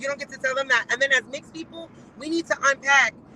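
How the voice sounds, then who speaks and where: A woman's raised, projected voice, high in pitch and animated in tone. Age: 40s. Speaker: guest commentator. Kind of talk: casual chat.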